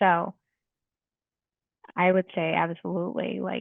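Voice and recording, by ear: With vocal fry, a woman speaks at a fairly low pitch in a dry, close sound with no echo.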